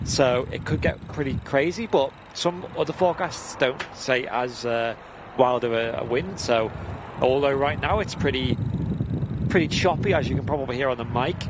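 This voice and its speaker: Loud background noise surrounds a man speaking at a moderate pace with ordinary pitch variation, the sound itself dry with no echo. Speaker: livestream co-host. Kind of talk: commentary. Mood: relaxed, amused. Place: open country.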